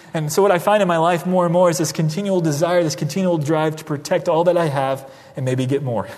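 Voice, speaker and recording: A man talks at a very fast pace with a fairly high pitch, over noticeable background noise. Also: ordinary pitch variation. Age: 30s. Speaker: pastor. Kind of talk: sermon. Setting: church.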